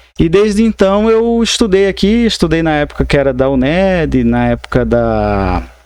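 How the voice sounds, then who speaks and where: Over a quiet background, a man speaks at a moderate pace with very even loudness. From Mato Grosso, Brazil (Alto Paraguai). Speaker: lawyer and university professor. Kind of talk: podcast interview. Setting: studio podcast, live.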